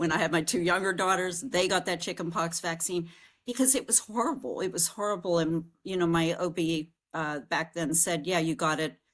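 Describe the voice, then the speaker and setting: In a very clean recording with a silent background, a woman with an American accent speaks at a moderate pace. She has a plain, everyday voice, fairly low in pitch with ordinary pitch variation. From US Northeast. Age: 60s. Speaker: podcast host. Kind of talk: casual interview chat.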